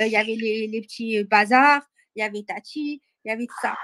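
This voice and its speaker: Delivery is fairly slow. There's no echo at all, and the sound is dry and close. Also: woman. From Paris, 18th arrondissement. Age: young. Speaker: caller. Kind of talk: testimony.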